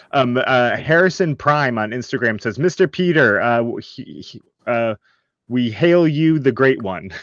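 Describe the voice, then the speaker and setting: Against a quiet background, a man with an American accent and a medium pitch speaks fairly slowly, with lively intonation and big swings in loudness. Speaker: podcast host. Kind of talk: interview. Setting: livestream.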